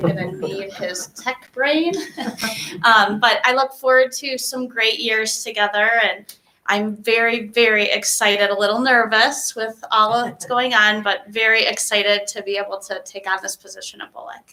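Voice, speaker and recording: Her loudness swings widely. The woman's pitch is fairly high with ordinary variation, and her pace is moderate. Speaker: new school principal. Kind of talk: formal remarks at a board meeting. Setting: school board meeting room.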